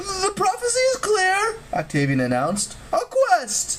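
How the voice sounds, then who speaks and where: An extremely high, squeaky put-on character voice speaks at a fairly slow pace. Background noise is clearly audible. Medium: read story.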